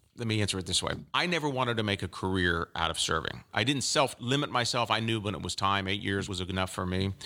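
Bright and sharp in tone, a man with an American accent talks very fast with hardly any pauses, at a fairly low pitch with ordinary pitch variation, in a very clean recording with a silent background. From Central Florida, Polk County. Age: 60s. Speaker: former congressman and lawyer. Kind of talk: interview. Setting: studio.

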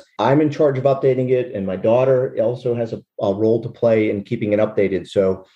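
A man's unremarkable speaking voice at a medium pitch, with ordinary pitch variation and a fairly quick pace. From Western Pennsylvania. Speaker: hop farmer, retired military lawyer. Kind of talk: interview.

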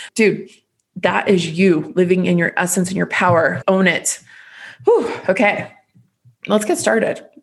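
Her pace is fairly slow, with long, frequent pauses and a somewhat breathy sound. This woman has a medium pitch, an animated tone and ordinary pitch variation. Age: 30s. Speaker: podcast host. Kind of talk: casual solo podcast monologue.

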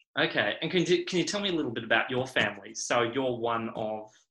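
Lively intonation and a bright, sharp tone come at a very fast pace. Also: man. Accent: Australian. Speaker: podcast host. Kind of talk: interview conversation.

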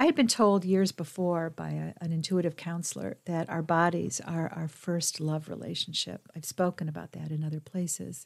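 On a very clean recording with a silent background, a woman with a normal speaking voice talks at a moderate pace in a fairly low pitch, with fairly even intonation and hardly any pauses. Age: 60s. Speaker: podcast host and women's mentor. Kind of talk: solo monologue podcast. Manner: gentle, reflective.

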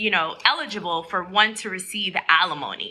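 The speaker has a normal speaking voice and talks at a moderate speed. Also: woman. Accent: American. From New York. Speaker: attorney podcast host. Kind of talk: solo legal explainer podcast. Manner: casual, conversational.

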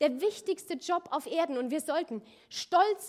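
A woman speaks at a very slow pace in an extremely high pitch that makes very wide swings. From Rhineland-Palatinate, near Koblenz. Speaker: church leader, pastor's wife. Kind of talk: sermon.

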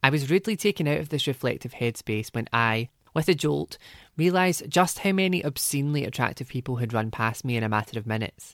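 Very fast male speech in a Glaswegian accent, medium pitch and lively intonation, dry and close with no echo, on a very clean recording with a silent background. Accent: Glaswegian lilt. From Scotland, Glasgow. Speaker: essayist. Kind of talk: personal essay reading.

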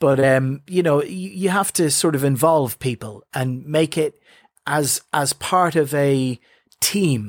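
The speaker talks at a very slow pace with lively intonation in a very clean recording with a silent background. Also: man, fairly high pitch for a man. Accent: Irish. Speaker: radio DJ. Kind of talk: interview. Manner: animated.

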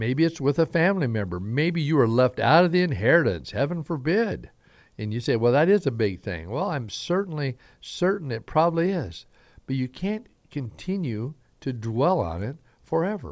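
On a very clean recording with a silent background, the speaker moves at a moderate pace through very wide pitch swings. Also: man, fairly high pitch for a man. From Southern Idaho. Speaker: pastor. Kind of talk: sermon-style Bible teaching with prayer. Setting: radio broadcast.

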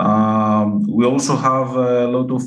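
A man with a Greek accent, medium in pitch. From Greece. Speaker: forecasting researcher. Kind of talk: interview. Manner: halting, many fillers.

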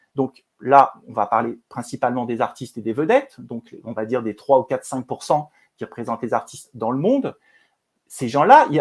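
Against a very clean recording with a silent background, a man talks at a moderate pace with long, frequent pauses. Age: 50s. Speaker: film producer and director. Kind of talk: interview conversation.

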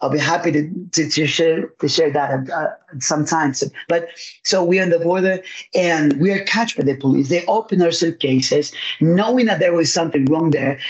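A man's high voice with ordinary pitch variation and very even loudness. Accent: Spanish. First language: Spanish. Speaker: pastor and evangelist. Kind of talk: testimony.

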